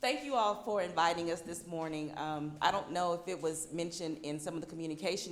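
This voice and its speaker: Noticeable background noise plus audible echo from the room. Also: woman. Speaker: nonprofit board member. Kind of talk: presentation to luncheon audience.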